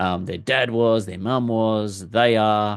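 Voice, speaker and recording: A man with an Australian accent speaks at a fairly low pitch and with fairly even intonation against a quiet background. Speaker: football fan vlogger. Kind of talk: casual monologue. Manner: hesitant, with fillers.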